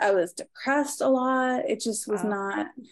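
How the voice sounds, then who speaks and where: A woman with an American accent speaks with lively intonation. The recording is very clean, with a silent background. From Maryland. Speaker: mentorship client. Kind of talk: casual chat.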